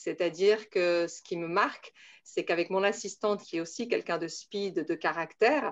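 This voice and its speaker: Against a quiet background, a woman speaks at a moderate pace and a medium pitch. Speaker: Montessori teacher. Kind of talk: testimony. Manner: hesitant, many filler sounds.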